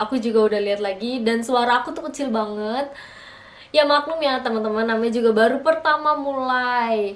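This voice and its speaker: A woman talks at a fairly quick pace in a high pitch, with ordinary pitch variation. Room echo is audible. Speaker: vlogger. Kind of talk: casual vlog talk to camera. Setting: alone at home in front of camera. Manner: chatty, with many fillers.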